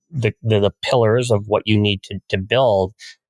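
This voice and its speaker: A man's unremarkable speaking voice at medium pitch, with fairly even intonation and a dry, close sound with no echo. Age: 60s. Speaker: family wealth advisor. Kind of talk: podcast interview.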